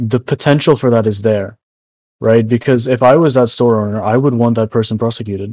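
A man has an unremarkable speaking voice at a medium pitch. He talks at a fairly quick pace with fairly even intonation. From immigrant to Canada from a developing country. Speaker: podcast co-host. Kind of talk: casual chat.

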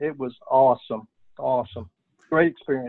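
A man talks in a Texan accent. His pace is moderate. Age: 60s. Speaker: oil and gas business founder, army veteran. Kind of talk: interview.

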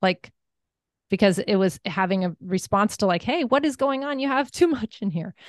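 With an American accent and a plain, everyday voice, a woman of medium pitch speaks at a moderate pace with lively intonation, the sound dry and close with no echo. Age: 50s. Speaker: wellness coach and entrepreneur. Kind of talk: interview.

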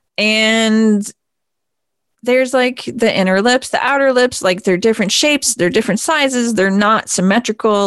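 A woman with an American accent, fairly high in pitch, with ordinary pitch variation. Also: dry, close sound with no echo. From Vermont, US. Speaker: radio host and sex educator. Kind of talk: solo radio talk. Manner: casual, filler-heavy.

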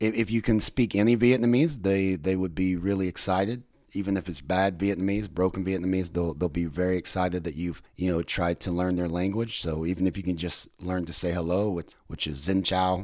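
Fairly quick and fairly even in intonation, the speaker has an American accent, recorded very cleanly over a silent background. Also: man, very deep, low pitch for a man. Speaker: podcast host. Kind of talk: casual chat.

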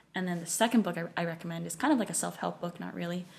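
A woman's voice, somewhat breathy, in an American accent. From US West Coast, San Francisco Bay Area. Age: 20s. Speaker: finance worker. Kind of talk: casual chat. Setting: at home.

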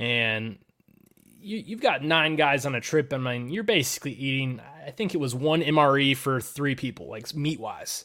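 A man's bright, sharp tone at a moderate pace with ordinary pitch variation. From Tennessee mountains. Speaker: fishing industry brand representative. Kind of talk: casual podcast interview.

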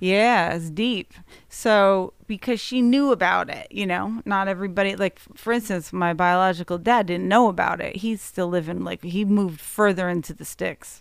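With an American accent, a woman in an unremarkable speaking voice talks at a moderate pace with ordinary pitch variation and hardly any pauses. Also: medium pitch for a woman, very clean recording, silent background. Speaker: musician. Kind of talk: casual chat.

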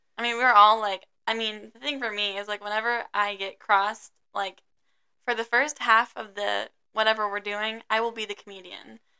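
Her tone is bright and sharp, pitched fairly high for a woman. The loudness swings widely. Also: moderate pace. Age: 20s. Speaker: college student. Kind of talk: casual chat. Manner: animated.

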